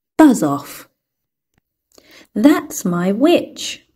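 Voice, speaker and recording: A put-on character voice, fairly high in pitch, shrill, croaky and growling, with very wide pitch swings. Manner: shouting, dismissive.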